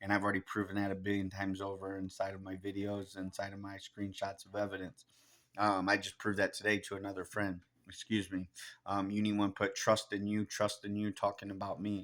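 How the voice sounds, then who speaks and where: With a monotone, flat delivery, a man talks at a fairly quick pace on a very clean recording with a silent background. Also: fairly low pitch for a man. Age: 40s. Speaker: conspiracy vlogger. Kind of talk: monologue rant. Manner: fast; halting, with fillers.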